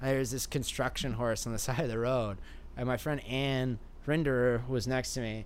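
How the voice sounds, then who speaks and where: The voice moves at a moderate pace with fairly even intonation. Room echo can be heard. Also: man, medium pitch for a man. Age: 20s. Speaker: skateboarder and artist. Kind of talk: casual chat.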